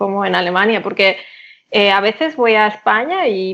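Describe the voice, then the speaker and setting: With a Catalan accent, a woman speaks at a moderate pace in a fairly high pitch with a bright, sharp tone. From Catalonia, Spain (Barcelona area). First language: Catalan (speaking Spanish). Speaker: polyglot, interview guest. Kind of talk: casual interview.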